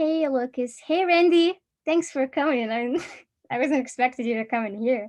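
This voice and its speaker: A woman speaks with a high pitch and ordinary pitch variation. Her pace is moderate. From Egypt. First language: Arabic. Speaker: college student presenter. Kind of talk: casual chat.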